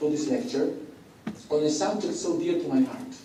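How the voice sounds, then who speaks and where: With lively intonation and a non-native accent, the speaker comes through noticeable background noise and audible room echo. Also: man. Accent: foreign. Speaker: priest and professor. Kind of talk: lecture.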